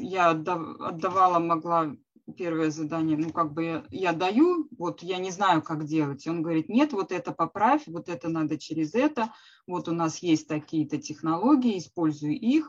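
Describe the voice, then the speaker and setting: Speaking at a fairly slow pace, a woman with a fairly low pitch uses lively intonation. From Russia, Smolensk. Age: 40s. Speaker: career-changer programmer, former psychologist. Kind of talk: interview. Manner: halting.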